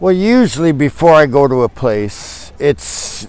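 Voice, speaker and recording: Very wide pitch swings come through against noticeable background noise. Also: man. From Canada, British Columbia. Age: 60s. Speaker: traveler. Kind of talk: casual interview chat. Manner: halting.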